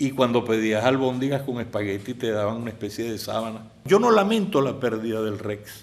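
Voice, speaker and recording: A man with a Caracas accent talks at a moderate pace. He hardly pauses at all. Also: medium pitch for a man, ordinary pitch variation. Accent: Venezuelan Spanish (Caracas). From Venezuela, Caracas. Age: 70s. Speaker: filmmaker. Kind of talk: interview.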